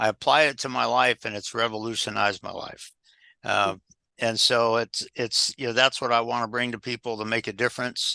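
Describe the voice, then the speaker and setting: Over a quiet background, a man talks at a fairly quick pace in a monotone, flat intonation, his medium-pitched voice bright and sharp in tone, the sound dry and close with no echo. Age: 60s. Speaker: executive coach and former pilot. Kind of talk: podcast interview. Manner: halting, many fillers.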